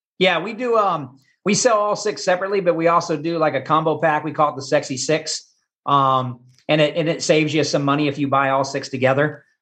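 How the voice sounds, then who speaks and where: Against a quiet background, a man with a Midwestern American accent and a bright, sharp tone speaks at a fairly quick pace and a fairly high pitch with ordinary pitch variation. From Kansas. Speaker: barbecue pitmaster and former teacher. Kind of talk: casual interview.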